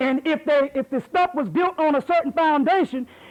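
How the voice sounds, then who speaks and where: Noticeable background noise sits under a man with an extremely high pitch. He speaks in an animated tone at a moderate pace. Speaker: lecturer. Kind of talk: heated debate; lecture. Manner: loud.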